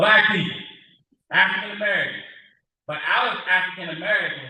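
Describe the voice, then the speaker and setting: This is a loud male voice with audible room echo. He talks at a moderate pace. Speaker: workforce board representative. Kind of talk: public speech.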